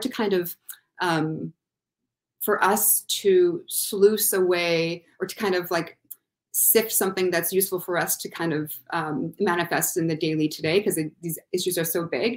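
A woman talks at a moderate pace with a Canadian accent and ordinary pitch variation. The background is quiet. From Thunder Bay, Ontario, Canada; Ontario, Canada. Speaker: university student, panelist; panelist. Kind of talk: online panel discussion. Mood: reflective, thoughtful. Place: home room.

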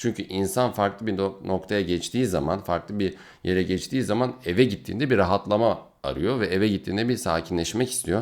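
In an ordinary speaking voice, a man talks at a fairly quick pace with fairly low pitch and ordinary pitch variation. The recording is very clean, with a silent background. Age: 20s. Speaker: neurology resident doctor. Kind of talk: video Q&A monologue.

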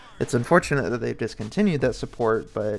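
A man's voice with music playing in the background. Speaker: PC gaming vlogger. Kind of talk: casual talk to camera. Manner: monotone, flat.

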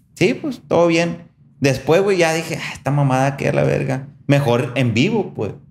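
In an animated, somewhat breathy tone, a man speaks at a fairly slow pace with a fairly high pitch and lively intonation. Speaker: podcast host. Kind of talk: casual chat.

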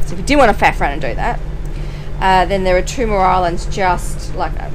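There is music behind the speaker, a woman. Her delivery moves at a moderate speed. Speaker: sailing vlogger. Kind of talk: casual vlog chat. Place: boat. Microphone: phone near.

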